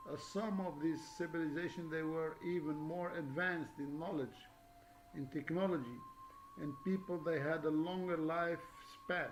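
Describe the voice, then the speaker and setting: Music plays in the background and audible room echo surrounds a man with a non-native accent who speaks at a moderate pace in a high voice with ordinary pitch variation. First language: not English. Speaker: religious video lecturer. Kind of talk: monologue lecture. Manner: halting, many fillers.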